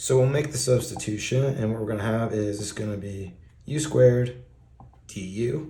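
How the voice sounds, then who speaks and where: A man speaks at a medium pitch and moderate pace, his tone dark, mellow and somewhat breathy. His pitch varies in an ordinary way, and room echo is audible. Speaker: math tutor on video channel. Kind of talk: tutorial. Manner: casual.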